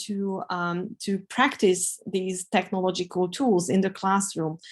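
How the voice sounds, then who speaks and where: Speaking fairly slowly, a woman with a Hungarian accent uses a medium pitch. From Hungary. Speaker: professor. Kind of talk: webinar Q&A. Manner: hesitant, many fillers.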